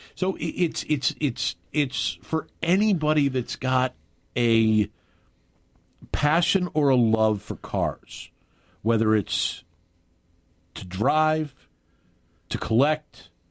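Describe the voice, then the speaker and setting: A man's fairly high-pitched voice at a very slow pace, with lively intonation and long, frequent pauses. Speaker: radio talk show host. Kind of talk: talk radio. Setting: studio. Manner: animated.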